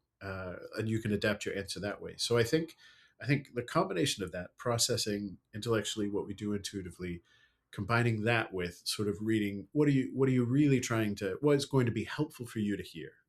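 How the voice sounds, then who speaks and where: On a very clean recording with a silent background, a man with an American accent speaks at a fairly quick pace. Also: medium pitch for a man, ordinary pitch variation. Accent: learned American accent, natively British. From UK. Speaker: storyteller and speaker. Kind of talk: podcast interview.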